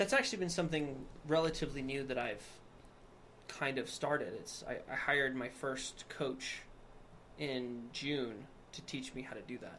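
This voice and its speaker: A man with an American accent, fairly high in pitch, with big swings in loudness, long, frequent pauses and audible room echo. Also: ordinary pitch variation, moderate pace. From Wyoming, US. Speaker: nutrition store owner. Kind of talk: casual chat.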